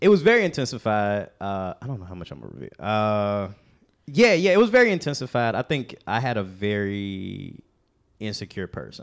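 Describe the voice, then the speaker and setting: In a very clean recording with a silent background, a man uses a normal speaking voice in an American accent, with a fairly low pitch, lively intonation, and big swings in loudness. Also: moderate pace. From Chicago. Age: 30s. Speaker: comedian. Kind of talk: casual chat.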